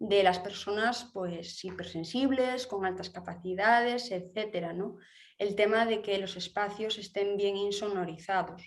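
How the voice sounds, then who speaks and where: A woman talks at a fairly slow pace in a Galician accent. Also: medium pitch for a woman, fairly even intonation. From Galicia, Spain. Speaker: architect. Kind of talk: interview. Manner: halting, many fillers.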